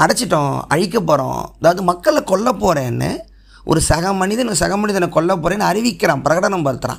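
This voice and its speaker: The man speaks at a high pitch, and his intonation is lively. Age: 30s. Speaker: podcast host. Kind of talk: solo monologue podcast.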